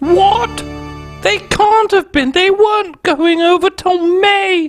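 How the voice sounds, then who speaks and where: An extremely high-pitched put-on character voice moves at a very slow pace. Faint music plays in the background. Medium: comedy sketch. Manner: haughty, upper-class.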